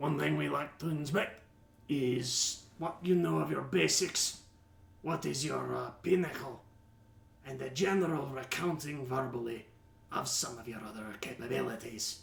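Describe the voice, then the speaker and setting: Putting on a raspy character voice, a man speaks at a moderate pace from a medium pitch with very wide pitch swings. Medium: actual play. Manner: curt, businesslike.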